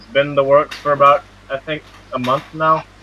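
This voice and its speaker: Against noticeable background noise, a man speaks at a fairly high pitch and a moderate pace. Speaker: podcast co-host. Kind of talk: casual podcast interview.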